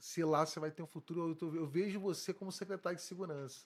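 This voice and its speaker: A man speaks here at a moderate pace. His voice is high-pitched. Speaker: police chief. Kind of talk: interview. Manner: halting.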